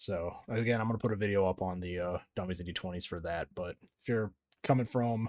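Over a silent background in a very clean recording, a man with a plain, everyday voice speaks at a fairly quick pace, fairly low in pitch with ordinary pitch variation. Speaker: podcast host and editor. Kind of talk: casual chat.

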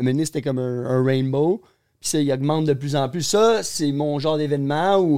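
This man has a fairly high pitch and a dark, mellow tone. He talks at a moderate pace with ordinary pitch variation. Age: 20s. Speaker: pro skateboarder. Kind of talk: casual chat.

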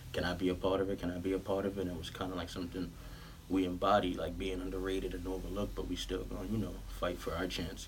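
With audible room echo around him, a man speaks at a very fast pace. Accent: New York. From New York, Queens (Southside Jamaica). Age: 20s. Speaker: clothing brand founder and basketball coach. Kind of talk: casual chat.

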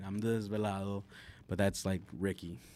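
A man speaks with an American accent at fairly low pitch. His tone is dark and mellow. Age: 30s. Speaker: poet and artist. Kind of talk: casual chat.

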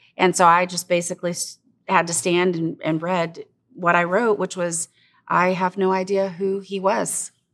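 On a very clean recording with a silent background, a woman with a fairly low pitch speaks at a moderate pace in a monotone, flat intonation. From Congo and Liberia, Africa. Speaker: pastor's wife, camp director. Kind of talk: casual chat.

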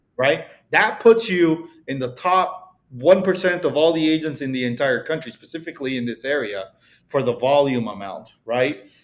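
Using lively intonation, a man with a Mexican accent speaks at a moderate pace in a fairly high voice. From Mexico. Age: 30s. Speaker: real estate broker. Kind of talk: casual interview chat.

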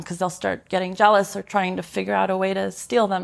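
A woman talking very fast over noticeable background noise. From Colorado, US. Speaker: real estate broker and former concert pianist. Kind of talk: interview. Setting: in person in Manhattan.

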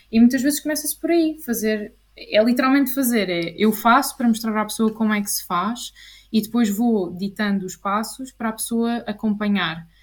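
A woman with a fairly high, somewhat breathy voice speaks at a moderate pace, using ordinary pitch variation. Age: 20s. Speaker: clinical psychologist. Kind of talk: interview.

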